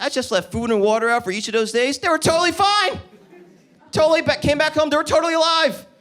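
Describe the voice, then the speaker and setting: A man with an American accent, very fast delivery and very wide pitch swings, over noticeable background noise. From New Jersey. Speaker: stand-up comedian. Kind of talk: stand-up. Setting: comedy club stage with audience. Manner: animated.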